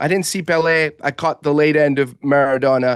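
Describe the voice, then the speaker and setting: With an American accent and a normal speaking voice, a man talks at a moderate pace and a fairly high pitch, the sound dry and close with no echo over a quiet background. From Portugal. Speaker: football expert. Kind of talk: sports talk show discussion.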